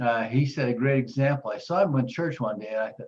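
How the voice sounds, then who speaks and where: At a fairly quick pace, a man speaks at a medium pitch in a somewhat breathy voice with ordinary pitch variation. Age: 70s. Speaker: weight-loss program client. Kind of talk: testimony.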